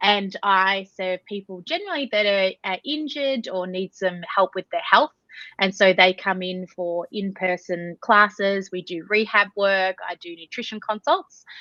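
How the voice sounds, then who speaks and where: A bright, sharp tone in an Australian accent at a fairly slow pace, with ordinary pitch variation, hardly any pauses, big swings in loudness and a dry, close sound with no echo. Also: woman, medium pitch for a woman. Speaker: Pilates instructor and nutritionist. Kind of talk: podcast interview.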